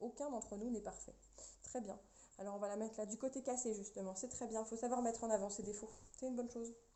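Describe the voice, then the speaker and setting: The speech runs at a very fast pace but breaks into long, frequent pauses, all in a monotone, flat intonation. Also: woman, fairly high pitch for a woman. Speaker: tarot card reader. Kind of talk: tarot reading for viewers.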